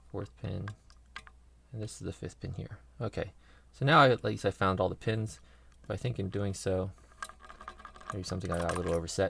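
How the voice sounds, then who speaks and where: Soft-spoken and at a moderate pace, the speaker uses ordinary pitch variation and takes long, frequent pauses amid noticeable background noise. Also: man. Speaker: lock picking hobbyist. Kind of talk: tutorial. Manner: halting.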